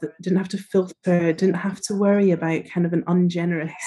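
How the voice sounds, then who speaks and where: In a Scottish accent, a woman speaks at a medium pitch with fairly even intonation. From northeast Scotland. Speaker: trainee therapist. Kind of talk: interview.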